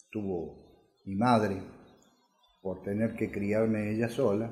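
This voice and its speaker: A very slow, somewhat breathy man's voice, fairly low in pitch, with audible room echo. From Argentina, Córdoba city. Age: 60s. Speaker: electrician. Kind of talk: life story interview. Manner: halting, many filler sounds.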